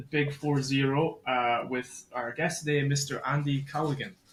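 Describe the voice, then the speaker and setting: A man speaks with a Scottish accent and fairly even intonation. Noticeable background noise is present. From Scotland. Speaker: podcast host. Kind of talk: podcast interview. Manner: casual, halting.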